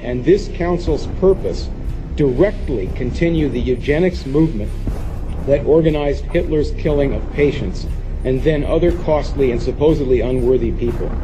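As faint music plays behind him, a man talks at a moderate pace. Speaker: public commenter at hearing. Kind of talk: prepared public testimony. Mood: accusatory, urgent. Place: meeting room.

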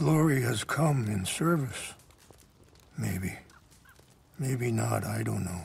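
Slowly and with lively intonation, a man at medium pitch puts on a character voice full of vocal fry.

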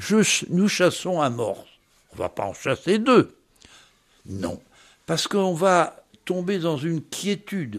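A high-pitched man's lively intonation at a very slow pace, with long, frequent pauses. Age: 90s. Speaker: polar explorer and ethnologist. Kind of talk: interview. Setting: at home in Paris.

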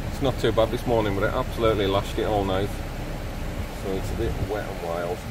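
A man's voice, dry with no echo, against noticeable background noise. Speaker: camper vlogger. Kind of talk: casual vlog chat. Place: waterside. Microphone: phone near.

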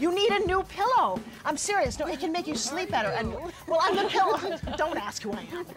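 Music plays behind a woman whose pitch is extremely high. She talks at a fairly quick pace with very wide pitch swings. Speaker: infomercial host. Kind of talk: street interview with shoppers.

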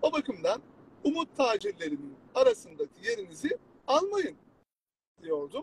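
A man talks at a fairly slow pace, with long, frequent pauses. The sound is dry and close, with no echo. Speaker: law exam prep instructor. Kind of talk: live stream talk.

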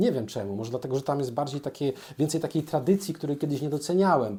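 The recording is very clean, with a silent background. A man with a dark, mellow tone speaks in very wide pitch swings. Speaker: comic book artist and YouTuber. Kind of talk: casual monologue. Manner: hesitant fillers.

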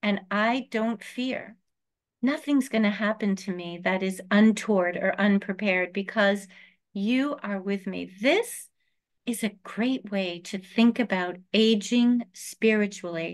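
A woman talks at a very slow pace, with the background quiet. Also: ordinary pitch variation. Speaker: rabbi. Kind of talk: lecture. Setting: video call. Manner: warm, informal. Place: home room. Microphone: webcam.

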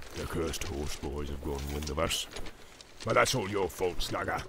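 A man speaks in a menacing tone. Noticeable background noise sits behind him. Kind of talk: audiobook character voices. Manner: growling, menacing orc voice.

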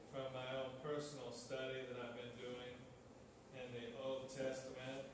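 Strong room echo and noticeable background noise surround a man speaking at a fairly slow pace. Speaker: pastor. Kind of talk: sermon. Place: church. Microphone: camera far.

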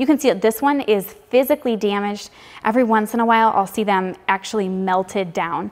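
The speaker is a woman. She moves along at a fairly quick pace. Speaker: tractor repair instructor. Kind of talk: tutorial. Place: garage. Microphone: lapel.

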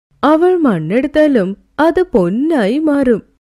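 Using a put-on character voice, a woman speaks slowly at a high pitch with big pitch swings and a dark, mellow tone.

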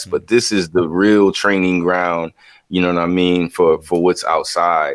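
With an American accent, a man speaks at a moderate pace in a very deep, low pitch, his voice dry with no echo against a quiet background. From US South, Charleston, South Carolina; South Carolina. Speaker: visual artist; guest. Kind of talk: interview. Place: home room. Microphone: video call.

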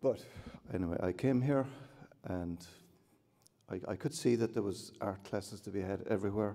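Ordinary pitch variation, a dark, mellow tone, a moderate pace with long, frequent pauses, and a quiet background. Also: man, fairly low pitch for a man. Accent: Cork. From Cork, Ireland; Ireland. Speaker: artist. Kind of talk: acceptance speech with anecdotes. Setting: hotel ballroom with audience. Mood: warm, humorous. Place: hall. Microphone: podium.

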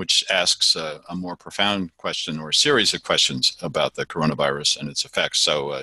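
This bright, sharp voice with vocal fry moves at a fairly quick pace with hardly any pauses and ordinary pitch variation, recorded dry with no echo against a quiet background. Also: man, very deep, low pitch for a man. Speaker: vlog host. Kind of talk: interview question. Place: office. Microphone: headset.

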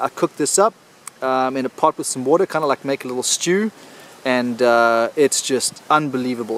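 Against light background noise, a man speaks at a fairly quick pace with ordinary pitch variation and a dry sound with no echo. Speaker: solo bushcraft vlogger. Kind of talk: casual vlog chat. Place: forest. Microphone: phone near.

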